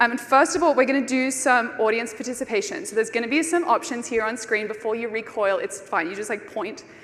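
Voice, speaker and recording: Over noticeable background noise and audible room echo, a woman with an Australian accent speaks at a fairly quick pace in a fairly high pitch with lively intonation. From Australia (Brisbane). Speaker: conference speaker. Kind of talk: conference talk. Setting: stage with audience.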